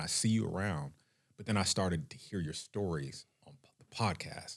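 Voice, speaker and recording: At a moderate pace, a man with an American accent speaks in a very deep, low pitch with lively intonation. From Northern California, Sacramento area. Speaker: banking and mortgage executive. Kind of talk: podcast interview. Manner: animated.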